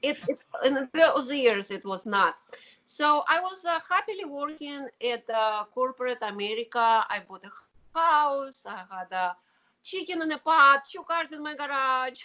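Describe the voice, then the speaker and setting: In a strong Russian accent, a woman with a high pitch talks at a fairly slow pace in a raised, projected voice, her tone bright and sharp, with very wide pitch swings and big swings in loudness. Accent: heavy Russian. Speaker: keyboardist and artist. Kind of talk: interview.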